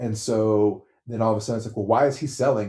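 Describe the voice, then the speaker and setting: Somewhat breathy, a man talks at a very fast pace. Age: 40s. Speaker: retail worker. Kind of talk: casual chat.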